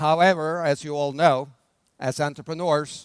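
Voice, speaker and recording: Fairly slow, fairly even speech from a man with a Norwegian accent, on a very clean recording with a silent background. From Norway. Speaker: brand development expert, conference speaker. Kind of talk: conference keynote talk. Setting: stage with audience. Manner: slow, deliberate pace.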